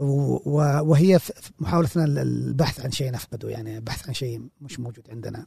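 A man with a normal speaking voice talks at a moderate pace in a medium pitch, with ordinary pitch variation and big swings in loudness. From Saudi Arabia, Jazan region. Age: 40s. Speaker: librarian and film critic. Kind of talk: casual interview. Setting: library.

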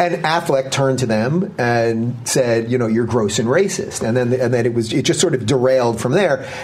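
The speaker has an American accent and very even loudness, with ordinary pitch variation, hardly any pauses and a moderate pace. Background noise is noticeable. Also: man, medium pitch for a man. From New York, Long Island. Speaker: political talk show host. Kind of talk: interview conversation.

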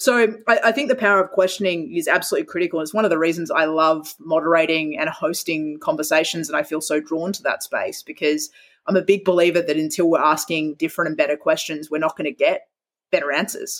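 The woman talks at a very fast pace in an Australian accent. Her pitch is fairly low with ordinary variation. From Western Australia, Perth. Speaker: speaker and author. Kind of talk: interview.

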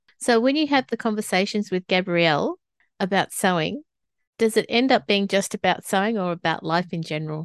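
A woman with an Australian accent talks at a fairly quick pace, her intonation lively. The sound is dry and close with no echo, over a quiet background. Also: medium pitch for a woman. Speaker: podcast host. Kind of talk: interview.

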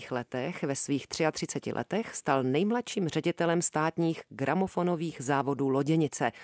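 A woman speaks at a fairly slow pace in a very deep, low voice with ordinary pitch variation, the sound dry and close with no echo over a quiet background. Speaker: radio host. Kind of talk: scripted narration.

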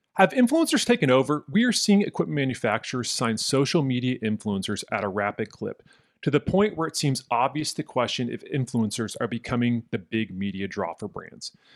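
A plain, everyday voice: a man of medium pitch at a fairly quick pace with hardly any pauses, lively intonation, and a dry, close sound with no echo. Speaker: podcast host. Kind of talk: casual interview.

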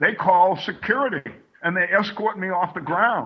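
With an American accent, a man talks at a moderate pace. His pitch is high, with ordinary variation. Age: 70s. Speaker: navy veteran and cannabis advocate. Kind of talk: interview. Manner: animated.

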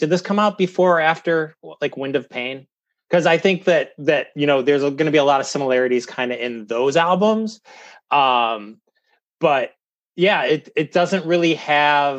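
Against a quiet background, a man with an Ohio accent speaks at a fairly high pitch with ordinary pitch variation. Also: moderate pace. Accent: Midwestern American (Ohio). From US Midwest, Cleveland, Ohio. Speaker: podcast guest, hardcore music fan. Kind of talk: casual chat.

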